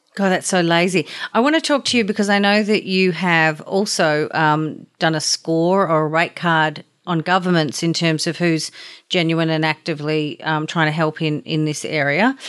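With an Australian accent, a woman speaks at a moderate pace and fairly low pitch, with ordinary pitch variation and very even loudness on a very clean recording with a silent background. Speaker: podcast host. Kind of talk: interview.

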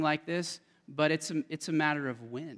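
An unremarkable speaking voice delivers the lines with fairly even intonation. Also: man. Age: 30s. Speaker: guest speaker at church young adults ministry. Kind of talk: sermon. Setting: church.

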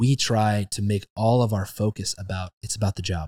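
On a very clean recording with a silent background, a man speaks in a somewhat breathy voice at a fairly low pitch with fairly even intonation, the sound dry and close with no echo. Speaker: podcast host. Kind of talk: casual interview.

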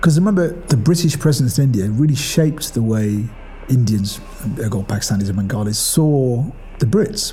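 Over music in the background and audible room echo, someone with a Manchester accent talks at a fairly quick pace with very wide pitch swings. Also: man, medium pitch for a man. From northern England, Ashton-under-Lyne, Greater Manchester. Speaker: arts director. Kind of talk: personal testimony. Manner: reflective, conversational.

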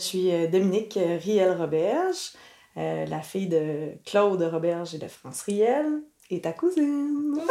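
In a Quebec accent, a woman speaks at a very slow pace, with very wide pitch swings and big swings in loudness. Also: medium pitch for a woman. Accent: Québécois French. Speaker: cousin of the host, granddaughter. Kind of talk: casual interview.

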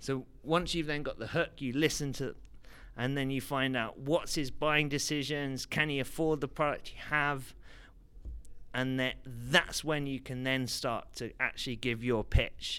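A man with an English accent and a bright, sharp tone speaks at a fairly slow pace in a very clean recording with a silent background. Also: fairly high pitch for a man. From London, England. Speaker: startup investor. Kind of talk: interview. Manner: hesitant, many fillers.

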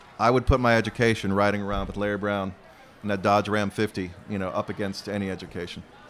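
With an American accent, a man rattles off words at a very fast pace in a fairly low pitch. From Arizona. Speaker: novelist. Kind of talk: onstage interview. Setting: outdoor festival stage with audience.

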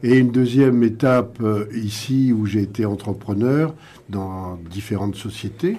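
In a normal speaking voice, a man talks at a medium pitch and a fairly slow pace with ordinary pitch variation. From France, Paris region. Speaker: sports entrepreneur. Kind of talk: radio panel discussion.

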